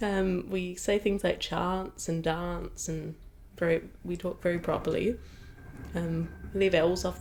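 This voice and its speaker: This woman speaks with an Adelaide accent. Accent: Adelaide accent, slightly British-sounding. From Adelaide, South Australia. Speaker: opera singer. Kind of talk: casual interview chat. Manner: animated.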